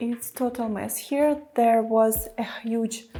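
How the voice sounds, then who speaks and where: A woman's fairly high, dark and mellow voice at a very slow pace, with fairly even intonation and a non-native accent. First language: not English. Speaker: vlogger. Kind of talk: house tour vlog. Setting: indoors, cold old wooden house. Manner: halting.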